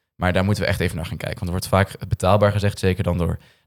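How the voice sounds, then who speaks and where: A man's voice is captured dry and close, with no echo. The recording is very clean, with a silent background. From Noord-Holland, Netherlands. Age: 20s. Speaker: young politician. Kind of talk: political discussion.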